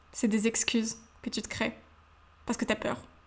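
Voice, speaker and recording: A woman's fairly high voice at a moderate pace. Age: young. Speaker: podcast host. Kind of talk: motivational monologue. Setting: home, seated in living room.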